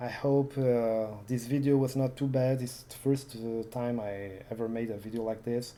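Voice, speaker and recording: A non-native accent at a moderate pace. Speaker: retro computing youtuber. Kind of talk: casual demo walkthrough. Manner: halting, many fillers.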